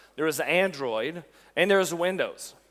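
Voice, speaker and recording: An animated man with a Quebec accent, high in pitch, with very wide pitch swings at a moderate pace. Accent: French-Canadian accent in English. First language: French. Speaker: technical evangelist. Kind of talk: conference tech talk. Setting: stage with audience.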